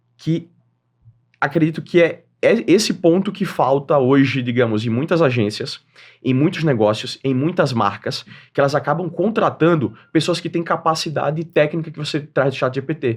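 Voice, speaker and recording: Fairly high male voice at a moderate pace, on a very clean recording with a silent background. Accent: northeastern Brazilian. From Northeast Brazil, Aracaju, Sergipe. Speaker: entrepreneur and creator economy expert. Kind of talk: podcast interview.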